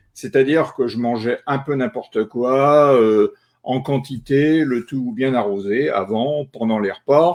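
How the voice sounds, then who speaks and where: Speaking at a very slow pace, a man holds a medium pitch. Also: ordinary pitch variation. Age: 60s. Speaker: retired journalist, cancer patient. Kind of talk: testimony. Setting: online live stream. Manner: halting, many filler euh.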